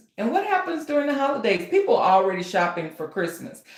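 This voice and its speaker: A woman talks. Her voice carries audible room echo amid noticeable background noise. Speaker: author and writing coach. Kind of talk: live stream tutorial. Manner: loud; animated.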